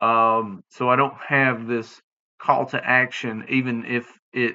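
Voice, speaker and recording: A man speaks with a Southern US accent at a medium pitch. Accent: Southern US, drops final g, slurred. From US South. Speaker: podcast host. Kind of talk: casual monologue podcast. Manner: halting, many fillers; slurred diction.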